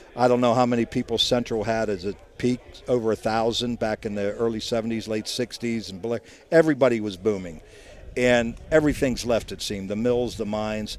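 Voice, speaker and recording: Fairly even intonation from a man at a medium pitch, moving at a fairly quick speed. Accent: Upper Ohio Valley. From Ohio Valley, eastern Ohio. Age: 60s. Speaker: doctor and sports radio co-host. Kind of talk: casual interview. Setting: bar event, live broadcast.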